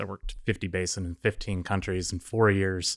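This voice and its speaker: On a very clean recording with a silent background and a dry, close sound with no echo, a man with a very deep, low pitch talks at a moderate pace with fairly even intonation. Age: 30s. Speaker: geologist and tech startup co-founder. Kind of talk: casual chat.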